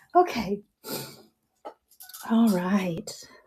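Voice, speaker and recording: A woman's voice over music in the background. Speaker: live auction seller. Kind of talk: live selling stream.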